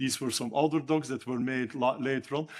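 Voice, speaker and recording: A man speaks at a medium pitch. The recording is very clean, with a silent background. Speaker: architecture lecturer. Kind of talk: lecture. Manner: halting, many fillers.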